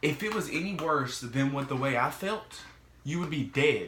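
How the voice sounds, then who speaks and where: Recorded with audible room echo and noticeable background noise, a man speaks at a moderate pace with ordinary pitch variation. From Mississippi. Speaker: vlogger sharing mental health experience. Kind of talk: casual vlog monologue. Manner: casual, halting with fillers.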